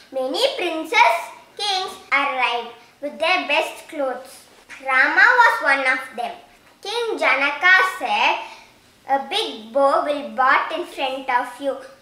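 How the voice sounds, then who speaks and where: Very slowly and with long, frequent pauses, a woman speaks at a high pitch with very wide pitch swings. Noticeable background noise sits behind her. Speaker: storyteller. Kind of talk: scripted children's storytelling, fairy-tale narration. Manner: simple, clear, measured storybook pacing.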